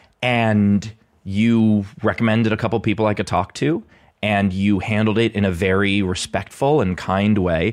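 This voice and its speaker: A man in a plain, everyday voice speaks at a fairly low pitch and a moderate pace, with fairly even intonation and very even loudness. The recording is very clean with a silent background. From New York City (Queens). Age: 40s. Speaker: comedian. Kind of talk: casual chat.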